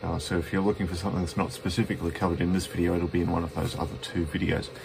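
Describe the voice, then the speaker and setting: With an Australian accent and a very deep, low pitch, a man talks at a very fast pace in fairly even intonation over noticeable background noise. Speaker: betting software presenter; presenter. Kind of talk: tutorial. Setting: at home, cold room. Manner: halting, stuttering. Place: home room. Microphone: phone near.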